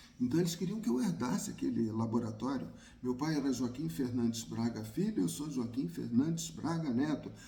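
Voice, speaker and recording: A man with vocal fry and a dark, mellow tone speaks at medium pitch and a moderate pace. His pitch swings very widely, and the room echo is audible. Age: 60s. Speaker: YouTuber on migration. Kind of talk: personal talk to camera.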